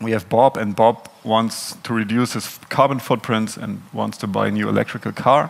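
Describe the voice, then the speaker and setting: The voice belongs to a man. He talks in a German accent at a moderate pace. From Germany. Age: 30s. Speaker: software consultant. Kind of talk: conference talk. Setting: stage with audience. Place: hall. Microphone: headset.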